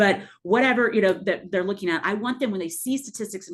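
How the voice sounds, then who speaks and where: A female voice with a quiet background. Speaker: math professor leading faculty training. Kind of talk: workshop presentation. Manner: fast.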